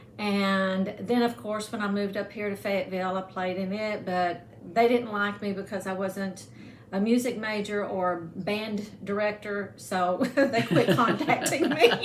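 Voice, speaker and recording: The speech moves at a fairly slow pace with ordinary pitch variation, over noticeable background noise and audible room echo. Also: woman, medium pitch for a woman. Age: 60s. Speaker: former band student. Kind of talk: casual chat. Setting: home.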